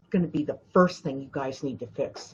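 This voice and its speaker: A somewhat breathy woman's voice. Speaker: spiritual intuitive and life coach. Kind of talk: live stream talk. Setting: live video stream. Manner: soft-spoken; halting, many fillers.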